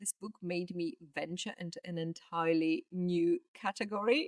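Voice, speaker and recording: A woman with a Polish accent speaks at a fairly slow pace, her medium pitch moving with lively intonation. The sound is dry and close, with no echo. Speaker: book vlogger. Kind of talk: casual monologue. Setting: indoors at home; outdoors in garden.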